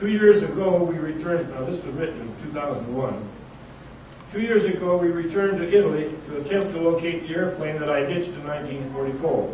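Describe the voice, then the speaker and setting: A high-pitched man with an American accent talks at a fairly quick pace, his loudness swinging widely. The recording has audible room echo and noticeable background noise. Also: ordinary pitch variation. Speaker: war veteran. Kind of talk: testimony; reading aloud.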